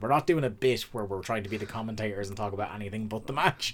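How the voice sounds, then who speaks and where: This man speaks with an Irish accent. His pitch is fairly low. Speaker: podcast host. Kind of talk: casual chat. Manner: fast.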